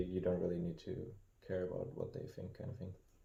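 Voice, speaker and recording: A man's very deep, low voice comes through somewhat breathy with a dark, mellow tone in a very clean recording against a silent background. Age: 30s. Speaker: podcast co-host. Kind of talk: casual chat.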